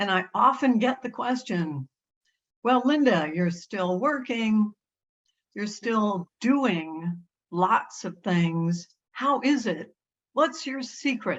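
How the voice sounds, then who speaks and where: A woman's fairly high voice, lively in intonation, at a very slow pace. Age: 80s+. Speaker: consultant and conference keynote speaker. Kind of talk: keynote talk. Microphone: echo on the line.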